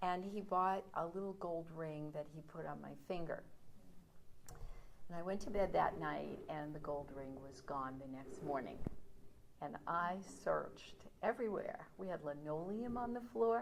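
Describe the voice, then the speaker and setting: A woman with an American accent has an ordinary speaking voice at fairly low pitch. Her intonation is lively. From New York City (Brooklyn, Coney Island). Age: 60s. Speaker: storyteller. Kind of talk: personal storytelling.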